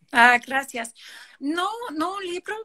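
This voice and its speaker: A woman speaks in a raised, projected voice with a non-native accent and a bright, sharp tone. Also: dry, close sound with no echo. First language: English (speaking Spanish). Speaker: participatory urban planning director. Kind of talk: interview. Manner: halting, frequent fillers.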